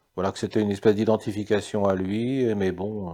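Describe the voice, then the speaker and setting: A man talks at a fairly quick clip. His voice sits fairly low. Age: 60s. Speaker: psychiatrist. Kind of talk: interview. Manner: halting.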